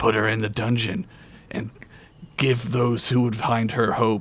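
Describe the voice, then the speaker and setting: Putting on a raspy character voice, a man speaks at a moderate pace and medium pitch. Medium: actual play. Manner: pompous, blustering.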